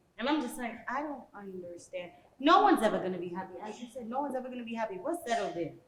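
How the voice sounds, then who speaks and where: A woman with an American accent talks at a very fast pace and fairly high pitch, with very wide pitch swings and big swings in loudness, amid noticeable background noise and audible room echo. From Washington D.C. area, African heritage. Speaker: podcast panelist. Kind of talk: casual chat. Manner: animated.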